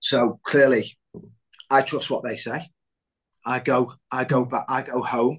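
Speaking at a fairly slow pace, a man keeps a monotone, flat intonation and leaves long, frequent pauses. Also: medium pitch for a man. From Merseyside, northern England (Southport). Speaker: armed forces member, illness survivor. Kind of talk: personal testimony in interview. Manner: halting, many fillers.

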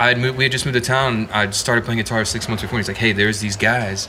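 A very fast-talking man with an American accent and medium pitch, set against noticeable background noise. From Texas. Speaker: songwriter and electric guitarist. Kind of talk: casual interview chat. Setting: pub.

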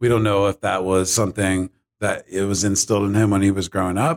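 With an American accent, a man talks in an ordinary speaking voice at a fairly low pitch, the sound dry and close with no echo on a very clean recording with a silent background. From Ohio and Florida, US. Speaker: podcast host. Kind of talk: casual chat.

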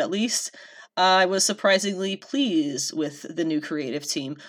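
An ordinary speaking voice belongs to a woman at medium pitch, going at a fairly quick pace. The recording is very clean against a silent background. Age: 20s. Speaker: podcast host. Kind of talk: casual chat.

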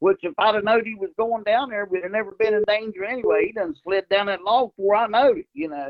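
A man with an American accent speaks at a fairly quick pace. His pitch is high and his intonation lively. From West Virginia, around Ripley. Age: 60s. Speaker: coonhound breeder and hunter. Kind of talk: casual interview chat.

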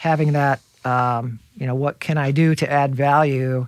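A man's medium-pitched voice with an American accent and monotone, flat intonation, in a dry, close sound with no echo. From Indiana, Fort Wayne. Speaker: real estate broker. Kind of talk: interview. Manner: halting, many fillers.

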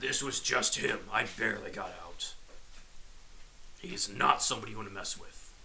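A man speaks in a raspy, put-on character voice at a moderate pace, with long, frequent pauses and clear background noise. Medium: actual play. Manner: wry, tired.

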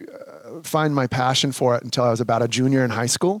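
The man talks at a moderate pace. He has an American accent. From Minnesota (Sauk Rapids). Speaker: professional drummer. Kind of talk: casual interview. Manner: halting, many fillers.

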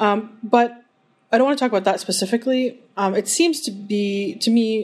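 In an unremarkable speaking voice, a woman keeps a medium pitch, ordinary pitch variation and a moderate pace. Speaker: interviewer. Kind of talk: casual interview.

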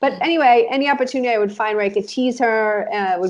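With an Israeli accent, the speaker talks at a very fast pace using lively intonation. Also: woman. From Israel, moved to the US as a child. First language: Hebrew. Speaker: life coach. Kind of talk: casual interview.

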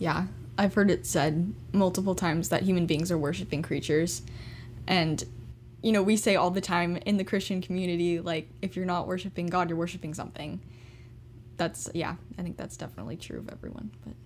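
A woman with a fairly low pitch and vocal fry talks at a fairly quick pace, her loudness swinging widely and her pitch varying in an ordinary way. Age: young. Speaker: student co-host. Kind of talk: casual chat.

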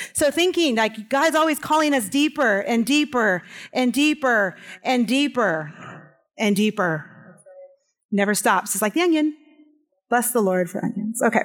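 Lively intonation at a moderate pace, broken by long, frequent pauses. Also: woman, high pitch for a woman. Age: 40s. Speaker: house church leader and guest speaker. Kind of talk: impassioned church sermon-testimony, building to a preacher's repeated crescendo. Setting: church service before a live congregation.

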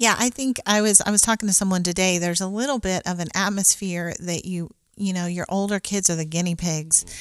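A woman with a plain, everyday voice, fairly quick pace, and fairly even intonation. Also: medium pitch for a woman, hardly any pauses. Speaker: mother of nine discussing parenting. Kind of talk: casual chat.

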